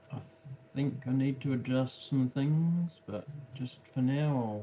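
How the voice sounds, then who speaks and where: A man's medium-pitched, very slow speech with fairly even intonation over noticeable background noise. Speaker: craft livestreamer. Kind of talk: casual livestream commentary while painting. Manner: halting, many fillers and repeats.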